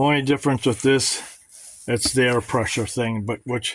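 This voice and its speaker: This man keeps his intonation fairly even, speaking at a medium pitch and a moderate pace. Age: 60s. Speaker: product reviewer. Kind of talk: product review video. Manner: casual, halting.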